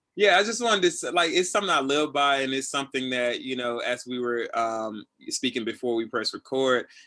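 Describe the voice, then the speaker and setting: Bright and sharp in tone, a man with an American accent speaks fairly quickly with lively intonation and hardly any pauses over a quiet background. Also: medium pitch for a man. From Tennessee. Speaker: assistant director. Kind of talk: casual interview. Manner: loud; animated.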